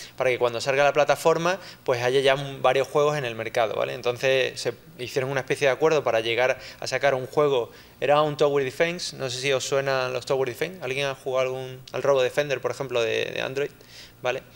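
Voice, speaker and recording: A man talks at a very fast pace with an Andalusian accent. His pitch sits at a medium level. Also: fairly even intonation. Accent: Andalusian (Seville) accent, noticeable. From Spain, Seville. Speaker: software engineer, conference speaker. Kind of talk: conference talk. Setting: lecture hall with audience, handheld mic, streamed. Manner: conversational, many fillers.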